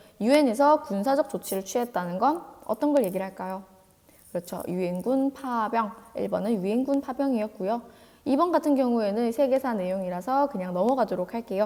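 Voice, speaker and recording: A woman talks in an ordinary speaking voice at a fairly high pitch. Her pace is fairly quick and her intonation lively. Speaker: teacher. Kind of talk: lecture.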